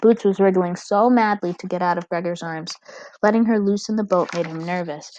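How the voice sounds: Reading in a natural voice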